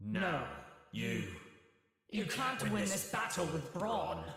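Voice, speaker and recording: A man uses a put-on character voice at a fairly high pitch. He speaks very slowly, with a strong echo. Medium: video game. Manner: arrogant, contemptuous.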